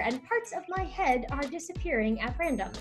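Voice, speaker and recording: Faint music plays in the background while a woman speaks at a high pitch and a moderate pace. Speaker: improviser. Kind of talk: podcast interview host. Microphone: webcam.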